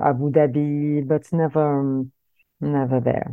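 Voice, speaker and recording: A woman's very deep, low voice with ordinary pitch variation, delivered at a fairly slow pace. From Morocco-born, raised in Paris suburbs, France. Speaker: singer and composer. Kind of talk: interview. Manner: halting.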